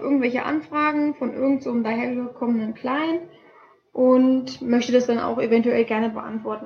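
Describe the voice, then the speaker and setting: A woman speaks at a high pitch. Her intonation is fairly even and her pace moderate. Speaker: student podcast co-host. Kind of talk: casual explanatory chat. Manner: halting. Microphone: laptop mic.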